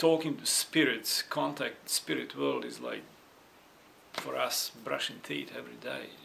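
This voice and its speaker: A man with a non-native accent at a fairly slow pace, over noticeable background noise. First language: not English. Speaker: vlogger sharing personal experience. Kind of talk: personal testimony. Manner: halting, with many repetitions and fillers.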